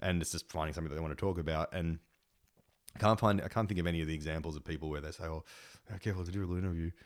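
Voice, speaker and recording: Very fast, very deep speech from a man with an Australian accent and fairly even intonation, in a very clean recording with a silent background. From Sydney, Sutherland Shire. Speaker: punk guitarist and radio presenter. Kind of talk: casual chat.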